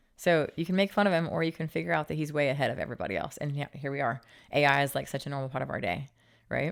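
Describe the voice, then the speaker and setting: Speaking at a very fast pace, the voice has an animated tone, lively intonation and vocal fry, with an American accent. The recording is very clean, with a silent background. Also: woman, very deep, low pitch for a woman. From Utah. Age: 40s. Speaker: fitness entrepreneur. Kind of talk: interview conversation.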